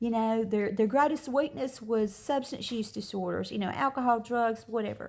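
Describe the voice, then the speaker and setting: At a moderate pace, a woman with an American accent speaks in a fairly high pitch with ordinary pitch variation and an unremarkable speaking voice. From US South. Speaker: motivational social media creator. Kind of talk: motivational talk to camera. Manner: casual, conversational.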